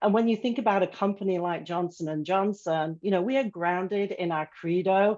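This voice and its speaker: Over a quiet background, a woman with an English accent talks at a fairly quick pace with ordinary pitch variation. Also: medium pitch for a woman, hardly any pauses. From England. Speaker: corporate learning executive. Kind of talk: panel discussion.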